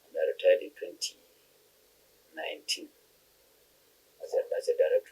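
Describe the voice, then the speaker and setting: Speaking at a fairly quick pace with long, frequent pauses, a man with a northern Nigerian accent has an extremely high pitch. His tone is dark and mellow, and his intonation is fairly even. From northern Nigeria, Bauchi State. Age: 60s. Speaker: retired chartered accountant. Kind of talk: interview. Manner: halting.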